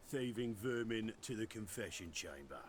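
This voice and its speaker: Using a put-on character voice at medium pitch, a man speaks at a moderate pace over clear background noise. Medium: video game. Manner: cold, menacing.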